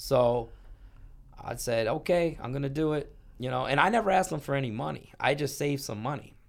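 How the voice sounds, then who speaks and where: This unremarkable speaking voice has an American accent and ordinary pitch variation. The pace is fairly quick. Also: man, fairly high pitch for a man. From Canada (Toronto area), then Michigan from age nine. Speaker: poker player and business owner. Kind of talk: casual interview chat.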